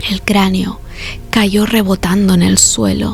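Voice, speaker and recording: Music plays in the background as a woman speaks. Her pace is very slow and her tone calm. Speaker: ASMR narrator. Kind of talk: sleep story. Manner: whispered; slow, calm.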